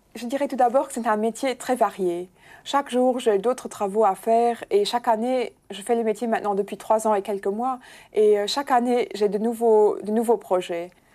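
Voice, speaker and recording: With a Luxembourgish accent, a woman speaks in a dark, mellow tone at a fairly high pitch and moderate pace with ordinary pitch variation, in a very clean recording with a silent background. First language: Luxembourgish (speaking French). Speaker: bank press officer. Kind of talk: interview.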